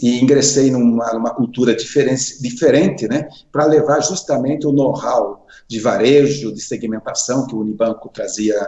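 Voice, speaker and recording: Using a plain, everyday voice, a man speaks at a moderate pace and a medium pitch with fairly even intonation. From Paraná, southern Brazil. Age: 60s. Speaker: finance executive, association president. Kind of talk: interview.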